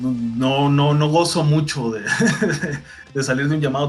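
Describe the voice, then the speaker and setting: Over music in the background, someone speaks at a moderate pace in a Mexican accent with ordinary pitch variation. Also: man. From Mexico. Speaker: voice actor. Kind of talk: interview answer.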